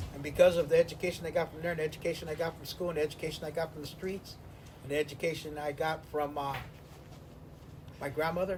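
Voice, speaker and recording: Very fast but broken by long, frequent pauses, a man's fairly high voice in an American accent stays monotone and flat while swinging widely in loudness. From Venice, Los Angeles, California. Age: 60s. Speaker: interviewee in an oral history, former inmate. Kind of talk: interview, reflective life story.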